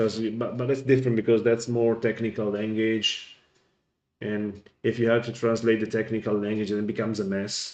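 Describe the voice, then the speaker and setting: The speech carries an Italian accent. Its intonation is monotone and flat. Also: man. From Italy. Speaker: gaming streamer. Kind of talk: casual chat.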